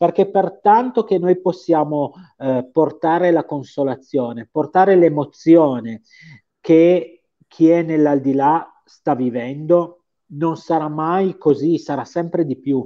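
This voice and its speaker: At a very slow pace, a man with a Piedmontese accent speaks in a fairly high pitch with ordinary pitch variation against a quiet background. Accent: Piedmontese, sing-song. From Piedmont, Italy. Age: 50s. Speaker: medium; guest. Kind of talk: interview. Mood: earnest, emotional storytelling. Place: home room. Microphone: video call.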